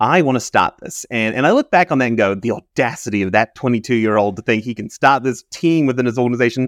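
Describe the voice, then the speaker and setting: Speaking very fast with a New Zealand accent, a man comes through in a dry, close sound with no echo. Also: medium pitch for a man, ordinary pitch variation, quiet background. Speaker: chief data officer. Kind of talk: interview.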